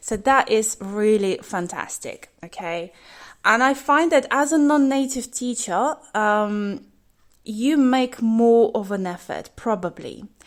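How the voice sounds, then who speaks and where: This woman speaks very slowly in a British accent, her fairly high voice lively in intonation, on a very clean recording with a silent background. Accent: British with a slight twang. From UK, raised in bilingual Russian household. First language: Russian. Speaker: English teacher. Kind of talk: podcast monologue. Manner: casual with frequent fillers.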